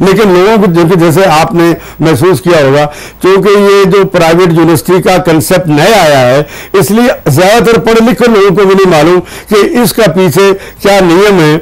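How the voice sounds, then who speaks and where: There is noticeable background noise as a man talks in a high voice with ordinary pitch variation. His loudness stays very even. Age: 80s+. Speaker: university chancellor. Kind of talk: TV interview. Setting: studio.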